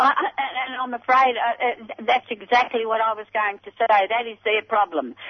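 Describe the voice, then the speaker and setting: Over noticeable background noise, a woman with a fairly high pitch talks at a moderate pace with ordinary pitch variation and hardly any pauses. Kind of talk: interview.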